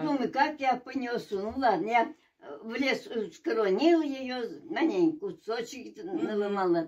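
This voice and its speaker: A woman's high-pitched voice at a very slow pace, with very wide pitch swings. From Russia. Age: 80s+. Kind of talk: interview answer.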